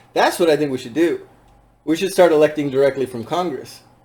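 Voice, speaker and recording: A dark, mellow tone with ordinary pitch variation. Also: man. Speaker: podcast host. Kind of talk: casual chat. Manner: fast.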